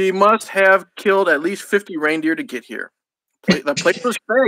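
An unforced reading voice over a quiet background

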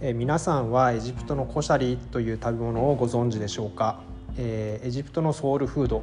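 Over music in the background, a man speaks fairly quickly at a medium pitch. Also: ordinary pitch variation. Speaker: newspaper correspondent and podcast host. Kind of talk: solo news explainer podcast.

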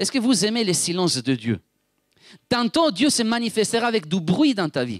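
A high-pitched man speaks at a moderate pace, his pitch swinging very widely. The recording is very clean and dry, close-up with a silent background and no echo. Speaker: preacher. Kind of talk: sermon. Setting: church.

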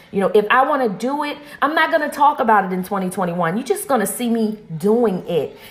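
A woman speaks in an animated, upbeat tone at a moderate pace, her pitch fairly high with very wide swings. Noticeable background noise runs underneath. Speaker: podcast host, motivational speaker. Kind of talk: motivational pep talk. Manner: animated, upbeat, emphatic and exhorting, with repeated rallying phrases.

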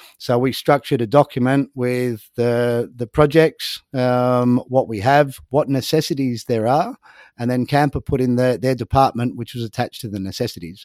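At a medium pitch, a man speaks at a moderate pace with fairly even intonation and hardly any pauses. The recording is very clean with a silent background, and the sound is dry and close with no echo. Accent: Australian. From Australia. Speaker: marine conservation NGO co-founder. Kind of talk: interview.

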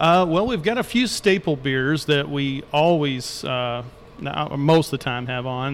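Noticeable background noise sits behind a man talking at a medium pitch. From Louisville, Kentucky. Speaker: brewery owner. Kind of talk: casual interview.

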